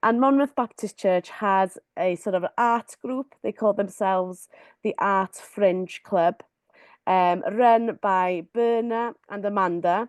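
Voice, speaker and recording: Against a quiet background, a woman speaks at a very slow pace and medium pitch with ordinary pitch variation, in a dry, close sound with no echo. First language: Welsh. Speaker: community artist. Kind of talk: webinar presentation. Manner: hesitant, many fillers.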